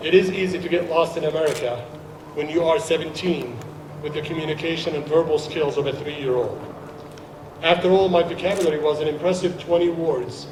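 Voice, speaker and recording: With an Arabic accent, a man talks at a fairly quick pace with fairly even intonation, amid noticeable background noise and audible room echo. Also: fairly high pitch for a man. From Jordan, Palestinian family, Saudi Arabia. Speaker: naturalized citizen guest speaker. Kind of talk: ceremony speech.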